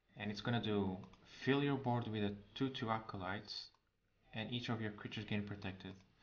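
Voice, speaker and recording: With audible room echo around him, a man speaks fairly quickly in a fairly low voice with fairly even intonation, leaving long, frequent pauses. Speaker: streamer reviewing card game changes. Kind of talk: live stream commentary.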